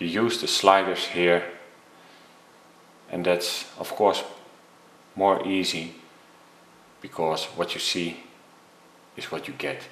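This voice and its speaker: A man speaks at a very slow pace in a very deep, low voice, leaving long and frequent pauses. His intonation stays fairly even while his loudness swings widely, and the room echo is audible. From Netherlands. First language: Dutch. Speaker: photography tutor. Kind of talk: tutorial. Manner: hesitant.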